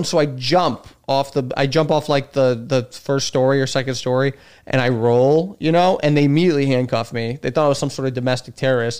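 At a fairly quick pace, a man's words come through a very clean recording with a silent background. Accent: slight Chicago. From Chicago, US Midwest. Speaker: stand-up comedian. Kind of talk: casual chat. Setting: in the host's home studio.

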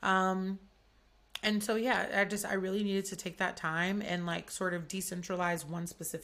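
A woman with an Atlanta accent, fairly low pitch, fairly even intonation and a moderate pace, in a very clean recording with a silent background. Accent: Southern US, Atlanta. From US South, Atlanta. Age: 20s. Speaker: podcast host and chef. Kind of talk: casual chat. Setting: home studio.

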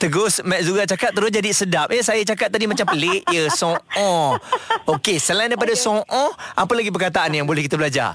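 Speaking at a fairly quick pace, a man with a high pitch uses lively intonation and keeps his loudness very even. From Johor, Malaysia. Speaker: radio host. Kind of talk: casual radio chat. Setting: radio studio. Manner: cheerful, laughs often.

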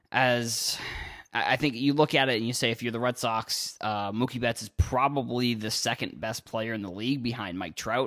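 A man speaks at a moderate pace in an American accent, his pitch medium and his intonation fairly even. The recording is very clean, with a silent background. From Massachusetts, Cape Cod. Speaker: sports podcast host. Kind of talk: solo podcast commentary. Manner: halting, many fillers.

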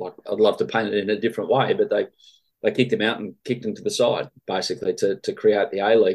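A man talks very fast in an Australian accent. The recording is very clean, with a silent background. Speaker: football journalist. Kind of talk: interview.

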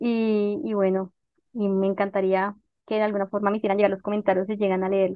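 The speech comes at a very fast pace in a Bogotá accent. The intonation stays monotone and flat. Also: woman, medium pitch for a woman. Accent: Bogotá Colombian Spanish. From Bogotá, Colombia. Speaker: historian and author. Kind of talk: interview.

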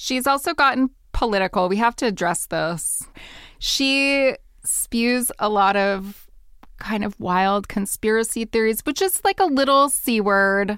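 In a very clean recording with a silent background, a woman with an unremarkable speaking voice talks at a fairly slow pace with lively intonation. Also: fairly high pitch for a woman. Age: 40s. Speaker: podcast co-host, historian. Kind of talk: casual chat.

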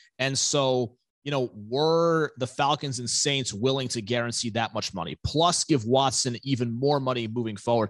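Over a quiet background, a man talks in a normal speaking voice at a medium pitch with ordinary pitch variation. His moderate pace has hardly any pauses, and the sound is dry and close with no echo. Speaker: football analyst. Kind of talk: sports analysis interview.

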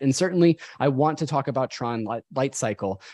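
An ordinary speaking voice with lively intonation comes through with a dry, close sound with no echo over a quiet background. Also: man. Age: 30s. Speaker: podcast host. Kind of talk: casual chat.

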